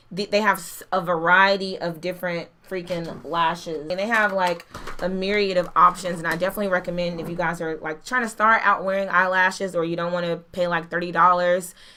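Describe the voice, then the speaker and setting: Against noticeable background noise, a woman with a fairly low voice talks at a fairly quick pace with hardly any pauses. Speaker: beauty youtuber. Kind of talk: product review. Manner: fast; animated.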